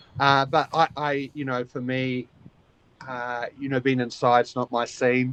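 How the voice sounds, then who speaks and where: A man with a New Zealand accent speaks at a medium pitch and a fairly slow pace. His intonation stays monotone and flat, and the sound is dry and close with no echo. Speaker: koala conservation volunteer. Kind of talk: casual interview. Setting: outdoors, in a small shelter, video call. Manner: halting, many fillers and repeats.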